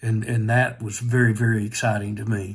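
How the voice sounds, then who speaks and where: A somewhat breathy delivery with monotone, flat intonation. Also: man. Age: 60s. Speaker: hearing aid customer. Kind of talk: testimonial. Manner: hesitant, many fillers.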